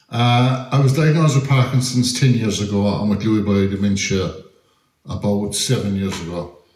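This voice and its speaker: In an Irish accent, a man speaks with ordinary pitch variation amid audible room echo. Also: medium pitch for a man, moderate pace. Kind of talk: talk to audience.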